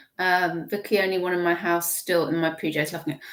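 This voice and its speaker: A woman speaks with an English accent. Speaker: online reseller livestream host. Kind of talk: casual livestream chat. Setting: live stream. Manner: chatty, rambling with restarts.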